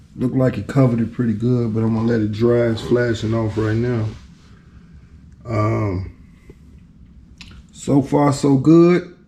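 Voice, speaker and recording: A man's medium-pitched, relaxed voice at a fairly slow pace, with ordinary pitch variation, long, frequent pauses and audible room echo. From Chicago. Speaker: DIY car restorer vlogger. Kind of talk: casual vlog commentary. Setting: garage. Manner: halting, stuttering; relaxed, laid-back.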